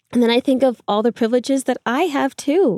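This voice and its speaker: A woman talks at a fairly quick pace with ordinary pitch variation, recorded very cleanly against a silent background in a dry, close sound with no echo. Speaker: climbing instructor and routesetter. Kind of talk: casual chat. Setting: in a van. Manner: soft-spoken.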